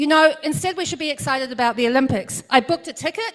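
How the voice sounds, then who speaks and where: This woman has a New Zealand accent and a high pitch. Her pitch varies in an ordinary way. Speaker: congressional candidate. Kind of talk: campaign speech.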